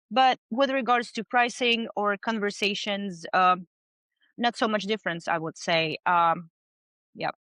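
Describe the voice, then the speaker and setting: A woman with a non-native accent and a bright, sharp tone, lively intonation at a moderate pace, dry and close sound with no echo, quiet background. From outside the US. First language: not English. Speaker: business owner in water damage restoration. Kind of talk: podcast interview.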